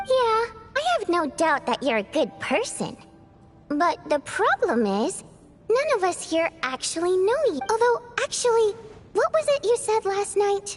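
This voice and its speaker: Clear music plays in the background behind a put-on character voice. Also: moderate pace. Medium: machinima. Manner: casual, playful.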